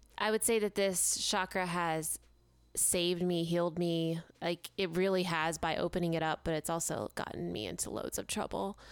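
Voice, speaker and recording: The recording is very clean, with a silent background, and intonation stays fairly even. A plain, everyday voice talks at a moderate pace. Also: woman. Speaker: mental health podcast co-host. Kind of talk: casual chat.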